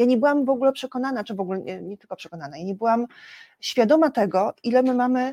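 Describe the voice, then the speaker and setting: Very fast female speech at a high pitch, dark and mellow in tone, with lively intonation, big swings in loudness, and a dry, close sound with no echo. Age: 50s. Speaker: civic activist. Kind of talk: interview. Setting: studio.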